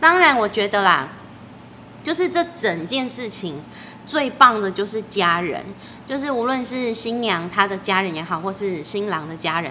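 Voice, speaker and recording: Her medium-pitched voice swings very widely in pitch as the woman speaks. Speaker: wedding planner and podcast host. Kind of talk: casual chat. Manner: animated.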